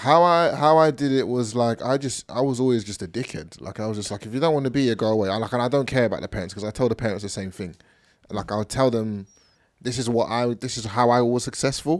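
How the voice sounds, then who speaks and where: In a very clean recording against a silent background, a man with an English accent speaks at a very fast pace. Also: medium pitch for a man, ordinary pitch variation. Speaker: podcast co-host and youth football coach. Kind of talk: casual chat.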